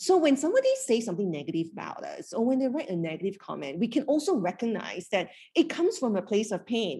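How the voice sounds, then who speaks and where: A woman's dark, mellow, somewhat breathy voice at a very fast pace, with hardly any pauses and very wide pitch swings. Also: fairly high pitch for a woman. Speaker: happiness coach. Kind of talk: live fireside chat with audience. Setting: live event workshop.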